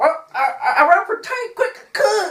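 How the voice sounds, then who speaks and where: A woman mumbles in a put-on character voice. The act comes with a strong Southern US accent. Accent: heavy, mumbled Southern drawl. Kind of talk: comic overacting. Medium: comedy sketch. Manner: mumbling, garbled, belligerent.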